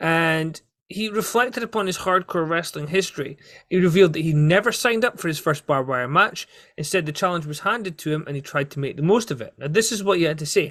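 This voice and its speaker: A very fast man's voice, high-pitched with ordinary pitch variation and a Scottish accent, in a very clean recording with a silent background. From Scotland. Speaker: wrestling podcast host. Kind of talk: solo podcast commentary.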